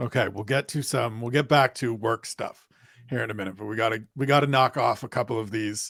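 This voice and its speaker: On a very clean, dry and close recording with no echo and a silent background, a man speaks in a medium pitch, somewhat breathy, with fairly even intonation. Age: 40s. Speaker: podcast host. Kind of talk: interview conversation.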